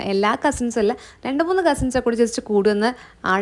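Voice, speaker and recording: In a very clean recording with a silent background, a woman speaks with a high pitch and lively intonation. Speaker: vlogger. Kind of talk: casual vlog narration.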